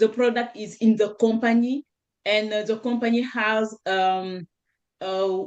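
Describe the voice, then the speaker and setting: In a French accent, a woman speaks slowly-ish at a fairly slow pace, her pitch fairly high and her intonation fairly even. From Senegal. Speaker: network marketer. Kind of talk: panel discussion testimony. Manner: halting, searching for words.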